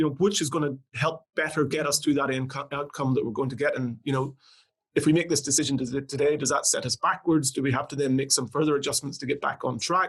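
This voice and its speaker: A man with an Irish accent talks at a very fast pace in a fairly high, somewhat breathy voice. His intonation stays fairly even. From Northern Ireland. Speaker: company CEO. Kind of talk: podcast interview.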